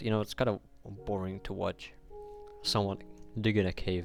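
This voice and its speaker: Flat, monotone delivery in a non-native accent, with music in the background. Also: man. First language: not English. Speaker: gaming video creator. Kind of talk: gameplay commentary. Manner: halting.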